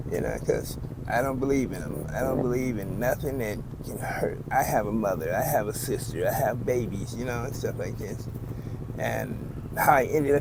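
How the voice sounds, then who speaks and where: The speech moves at a fairly quick pace with ordinary pitch variation, recorded with audible room echo and noticeable background noise. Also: man. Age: 60s. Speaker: homeless man. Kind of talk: street interview.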